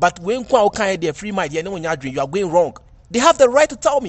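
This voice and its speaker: In a Ghanaian accent, a man speaks with a high pitch. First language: Twi. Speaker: entertainment commentator. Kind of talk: video commentary.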